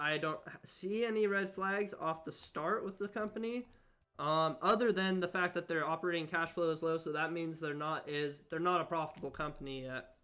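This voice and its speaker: Bright and sharp in tone, a man's high voice moves with ordinary pitch variation. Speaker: stock investing streamer. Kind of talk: casual live stream chat. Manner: fast.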